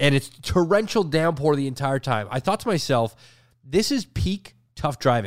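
A man in a Canadian accent, fairly high in pitch with very wide pitch swings, at a moderate pace, in a dry, close sound with no echo. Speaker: podcast co-host. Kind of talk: casual chat. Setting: home, sitting on the floor.

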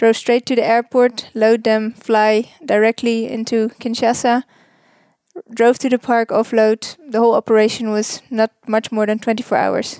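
A woman with a Dutch accent, fairly high-pitched and monotone, at a moderate pace, in a dry, close sound with no echo. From Netherlands. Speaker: wildlife relocation worker. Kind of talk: interview. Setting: hotel room.

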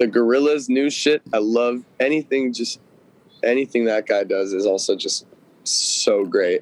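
With a Californian accent, a man talks at a fairly slow pace, the sound dry and close with no echo but with noticeable background noise. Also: medium pitch for a man, ordinary pitch variation. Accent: Californian American. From Los Angeles, Studio City. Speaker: musician. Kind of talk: casual interview.

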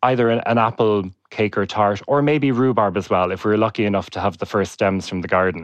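A plain, everyday voice speaks at a fairly quick pace with ordinary pitch variation. The background is quiet. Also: man. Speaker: pastry chef and author. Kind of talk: casual interview.

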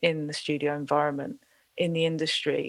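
A woman speaks with a London accent. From South East London. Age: 40s. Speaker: singer-songwriter and music producer. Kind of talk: interview conversation.

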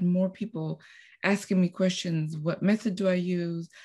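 A somewhat breathy woman's voice at a medium pitch, dark and mellow in tone, against a quiet background. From Costa Rica. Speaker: piano teacher. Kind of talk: casual interview.

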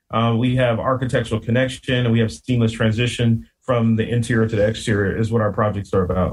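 A man with an American accent speaks at medium pitch, very fast and with hardly any pauses. His voice is somewhat breathy, with very even loudness and monotone, flat intonation. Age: 40s. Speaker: landscape business owner and podcaster. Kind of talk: casual interview chat.

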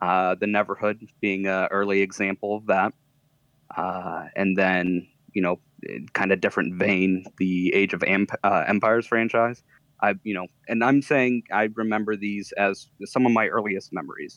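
A man with an unremarkable speaking voice talks at a moderate pace and fairly low pitch, keeping his intonation fairly even. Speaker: podcast guest. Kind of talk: casual chat.

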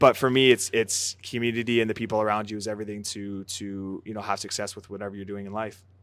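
A man with a Canadian accent, fairly low in pitch, at a very fast pace with hardly any pauses, monotone and flat in intonation, with big swings in loudness on a very clean recording with a silent background. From British Columbia, Canada. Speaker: professional footballer. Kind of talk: casual interview.

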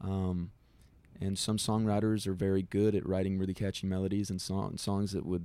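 A man with a very deep, low voice and a Texan accent speaks at a moderate pace in a dark, mellow tone with monotone, flat intonation, on a very clean recording with a silent background. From Del Rio, Texas. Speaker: singer-songwriter. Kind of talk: interview. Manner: halting.

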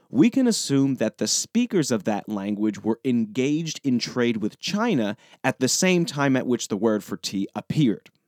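Man's medium-pitched, ordinary speaking voice with an American accent, a fairly slow pace and lively intonation, dry and close with no echo on a very clean recording with a silent background. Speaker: podcast host. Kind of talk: scripted educational narration. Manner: informal, explanatory.

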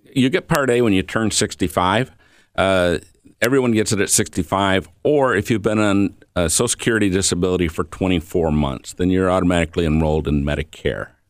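Against a very clean, silent background, a man with an Inland North accent and a very deep, low pitch talks at a fairly quick pace with lively intonation and very even loudness. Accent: US Midwest (Inland North). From Michiana area (northern Indiana / southwest Michigan), US Midwest. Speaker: health insurance and Medicare advisor. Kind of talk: radio interview.

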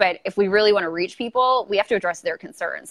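A very fast American-accented woman, medium in pitch, with fairly even intonation and a dry, close sound with no echo. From Los Angeles, California. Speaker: YouTuber and political commentator. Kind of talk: casual interview. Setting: video call.

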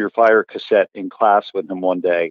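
At a fairly quick pace and a fairly low pitch, this man speaks in an ordinary speaking voice. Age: 40s. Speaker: author of a band touring history book. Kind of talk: podcast interview.

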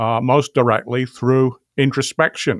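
Recorded very clean with a silent background and a dry, close sound with no echo, a man speaks at a fairly slow pace. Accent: British. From England. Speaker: philosophy professor. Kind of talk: podcast interview about philosophy of mind. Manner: formal, deliberate with hesitations.

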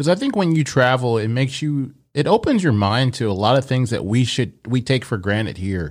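Lively intonation runs through an unremarkable speaking voice delivered at a fairly quick pace. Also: man, medium pitch for a man. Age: 40s. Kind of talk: casual chat. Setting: video call.

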